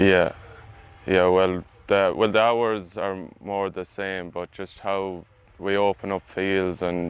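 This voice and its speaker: In an Irish accent, a man speaks fairly slowly with a very deep, low pitch and monotone, flat intonation. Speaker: agricultural student intern, combine driver. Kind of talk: interview answers.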